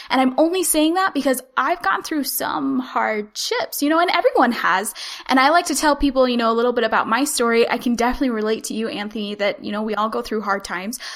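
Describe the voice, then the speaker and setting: A high-pitched woman's voice in a Utah accent, very fast and energetic, with lively intonation over noticeable background noise. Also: hardly any pauses. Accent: General American (Utah). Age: 20s. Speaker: podcaster and Instagram marketing consultant. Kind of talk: podcast interview.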